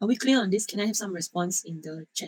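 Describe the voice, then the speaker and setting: A woman speaks with a somewhat breathy voice. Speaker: university lecturer. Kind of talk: online lecture. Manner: halting, repeats words.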